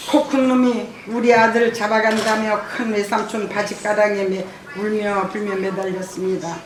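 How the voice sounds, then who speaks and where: Noticeable background noise runs through the clip. A woman talks with a fairly high pitch. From Jeju, South Korea. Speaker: massacre survivor and bereaved family association president. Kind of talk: testimony speech at a symposium.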